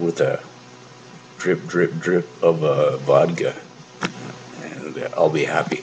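Very slow speech over music in the background. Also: man. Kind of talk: rambling late-night monologue. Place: home room. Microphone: phone near.

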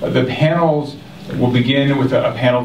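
Over light background noise and audible room echo, a man speaks at a fairly slow pace. His intonation stays fairly even. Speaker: event host from an advocacy group. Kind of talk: opening remarks to an audience. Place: hall.

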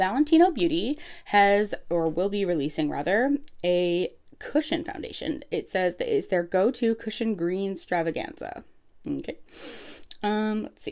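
Against a quiet background, a woman of medium pitch talks at a fairly slow pace with very wide pitch swings. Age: 30s. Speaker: beauty YouTuber. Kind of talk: casual product review vlog. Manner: chatty, many fillers. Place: home room. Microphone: phone near.

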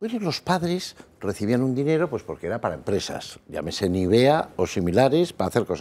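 Vocal fry runs through a man's speech at a moderate pace. His pitch swings very widely. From Basque Country, Spain. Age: 60s. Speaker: psychologist; guest. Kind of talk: panel debate. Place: studio. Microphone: lapel.

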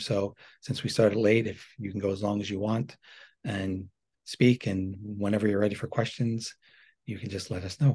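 A man's fairly low, somewhat breathy voice with a dark, mellow tone, at a moderate pace against a quiet background. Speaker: webinar host. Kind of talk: casual moderating. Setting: video call.

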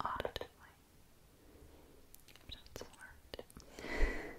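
A woman whispers. Her pace is very slow. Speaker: ASMR creator. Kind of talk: ASMR roleplay, personal attention. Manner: soft-spoken, whispering. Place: home room. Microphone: studio mic.

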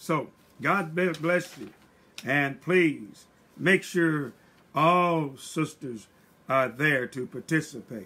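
A man speaks at a very slow pace with ordinary pitch variation. His speech has long, frequent pauses. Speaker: church pastor. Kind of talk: church announcements. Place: home room. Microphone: webcam.

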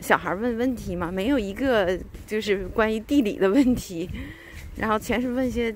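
With lively intonation and a fairly high pitch, a woman talks at a moderate pace, the sound dry with no echo and light background noise underneath. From China. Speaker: vlogger. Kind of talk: casual monologue. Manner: hesitant, many fillers. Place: street. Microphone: phone near.

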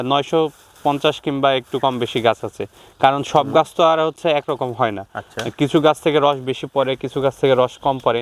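Pitched rather high with fairly level intonation, a man talks in an unremarkable speaking voice. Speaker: young date-jaggery producer. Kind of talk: interview.

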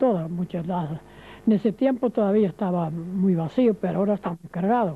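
This is a man speaking at a moderate pace. His pitch varies an ordinary amount. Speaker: elderly immigrant telling his life story. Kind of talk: elder life story, recounting his sea voyage to Argentina as an immigrant. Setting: interview. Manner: repeats himself while explaining details. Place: street. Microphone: handheld.

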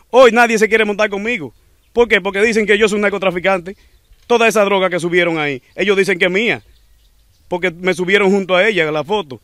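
This man talks at a very fast pace with a high pitch and ordinary pitch variation. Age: young. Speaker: motorcycle taxi driver. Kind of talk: testimony.

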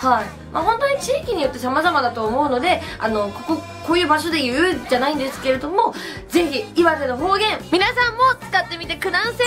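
With clear music in the background, a woman's high voice moves at a moderate pace through very wide pitch swings. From Iwate, Japan. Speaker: tourism promoter. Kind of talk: casual talk to camera. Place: home room.

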